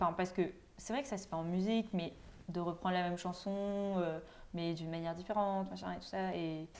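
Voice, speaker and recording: At a moderate pace, a woman with a fairly low pitch speaks with fairly even intonation, a plain, everyday voice. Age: 20s. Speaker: law student, podcast co-host. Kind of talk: casual chat.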